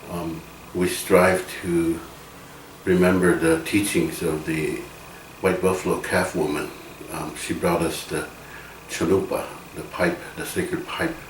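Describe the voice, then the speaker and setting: With noticeable background noise and audible room echo, a man with a very deep, low pitch speaks at a fairly slow pace, with monotone, flat intonation and long, frequent pauses. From Rosebud Reservation, South Dakota. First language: Lakota. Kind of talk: interview. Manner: halting, many fillers.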